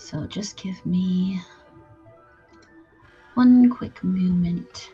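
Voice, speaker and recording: A woman speaks with music in the background. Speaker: live streamer. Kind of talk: casual talk to stream audience.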